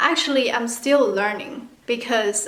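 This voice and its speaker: Her pitch is fairly high, and the woman uses ordinary pitch variation. Noticeable background noise and audible room echo come through. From China. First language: Mandarin. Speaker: vlogger. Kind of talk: casual tutorial vlog. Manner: casual, chatty.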